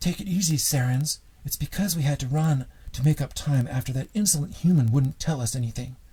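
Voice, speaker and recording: The speaker uses a squeaky put-on character voice and moves at a fairly quick pace. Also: man, fairly high pitch for a man. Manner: placating, breathless.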